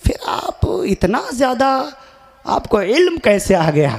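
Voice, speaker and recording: A man talks with very wide swings in pitch. Noticeable background noise runs behind him. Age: 20s. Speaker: Islamic preacher. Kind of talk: religious speech at a gathering. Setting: stage with audience. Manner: declamatory, repetitive oratory.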